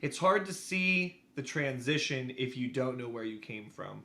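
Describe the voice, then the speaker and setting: A man speaks loudly at medium pitch and a moderate pace. His tone is bright and sharp, his intonation lively. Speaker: podcast cohost. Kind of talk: testimony.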